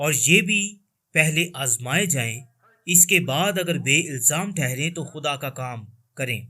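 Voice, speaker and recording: A man's fairly high-pitched voice, bright and sharp in tone, with ordinary pitch variation. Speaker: Urdu-language voice-over reader of a translated sermon. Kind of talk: religious sermon reading (Urdu translation).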